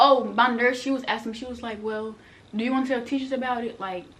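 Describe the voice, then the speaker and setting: There is audible room echo. Noticeable background noise runs under the speech. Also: woman. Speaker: vlogger. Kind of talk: storytime vlog. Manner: fast; animated.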